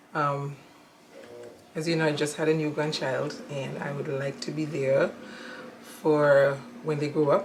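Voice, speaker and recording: Over noticeable background noise, a woman speaks at a fairly slow pace with a very deep, low pitch. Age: 60s. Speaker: interviewee, mother of the channel owner. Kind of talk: casual interview. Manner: hesitant, many fillers. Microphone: audio issues.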